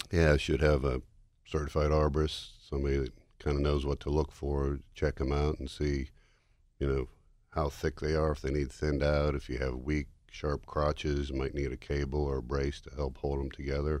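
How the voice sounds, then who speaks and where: At a moderate pace, a man with a very deep, low pitch speaks in a monotone, flat intonation. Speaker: tree care expert. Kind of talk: radio interview.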